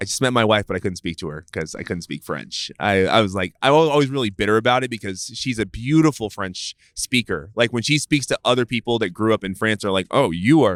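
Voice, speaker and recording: A man talks at a fairly quick pace with hardly any pauses, in a Californian accent, fairly low in pitch with lively intonation. The sound is dry and close with no echo, on a very clean recording with a silent background. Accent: Californian American English. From US West Coast, East Oakland, California. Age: 30s. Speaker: venture capitalist. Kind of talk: casual chat. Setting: in-person recording outdoors near a public walking path.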